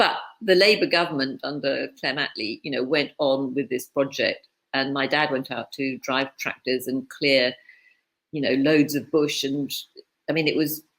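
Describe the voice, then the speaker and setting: Speaking with a British accent, a woman has a very deep, low voice. Her pace is moderate, with ordinary pitch variation. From East Africa (Tanganyika). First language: Swahili. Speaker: author and publisher. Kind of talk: casual interview conversation.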